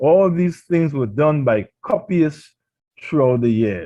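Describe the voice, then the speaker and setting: Speaking at a fairly slow pace, a man with a Trinidadian accent has lively intonation and a fairly high pitch. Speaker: pastor. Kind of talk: radio sermon.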